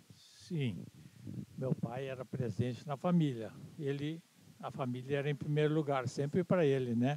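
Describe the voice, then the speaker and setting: The voice has a dark, mellow tone and ordinary pitch variation. It moves at a fairly slow pace with long, frequent pauses. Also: man, fairly high pitch for a man. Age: 80s+. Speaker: interviewee, son of movement founder. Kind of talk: interview.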